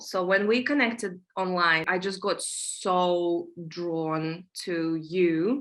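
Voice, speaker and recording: A woman speaks with a Russian accent. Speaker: manifestation coach. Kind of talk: interview conversation.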